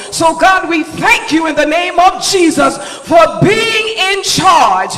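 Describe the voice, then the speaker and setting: This man's voice sits at an extremely high pitch. He speaks in a raised, projected voice. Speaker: church leader giving opening prayer. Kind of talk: fervent charismatic prayer. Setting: church. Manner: fervent, exclamatory. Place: church.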